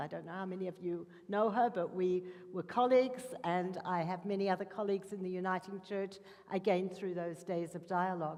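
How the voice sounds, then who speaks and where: A woman at a medium pitch with an Australian accent, at a fairly quick pace. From Australia, Melbourne. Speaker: interfaith dialogue worker. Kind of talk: panel talk.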